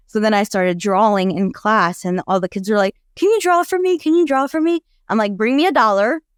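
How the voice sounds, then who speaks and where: In a very clean recording with a silent background and a dry, close sound with no echo, a woman with an American accent speaks at a fairly quick pace and a fairly high pitch, with very wide pitch swings and very even loudness. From Afghan refugee family via Pakistan, raised in the US from age five. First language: Dari / Farsi. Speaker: nonprofit co-founder, domestic abuse advocate. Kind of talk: podcast interview.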